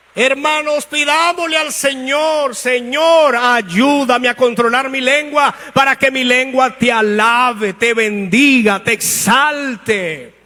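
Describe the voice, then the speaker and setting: Raised and projected, a man's extremely high-pitched voice has a bright, sharp tone, ordinary pitch variation and a very slow pace. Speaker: pastor. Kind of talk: sermon.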